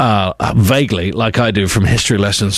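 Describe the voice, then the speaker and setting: The voice belongs to a man with a fairly low pitch. Noticeable background noise runs behind him. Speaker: radio presenter. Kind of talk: radio show presenting.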